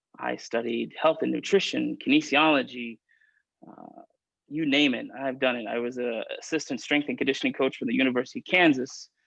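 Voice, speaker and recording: Talking at a fairly quick pace, a man with an American accent shows big swings in loudness. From Oklahoma, near Tulsa. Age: 30s. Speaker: diabetes prevention program coordinator. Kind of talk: interview. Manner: high energy.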